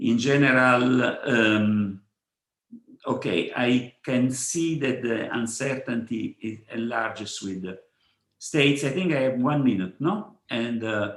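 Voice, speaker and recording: A man with a Neapolitan accent, speaking at a very slow pace. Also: medium pitch for a man, ordinary pitch variation. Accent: Neapolitan Italian. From Italy, Naples. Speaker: physicist. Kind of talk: conference talk. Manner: halting, many fillers and repetitions.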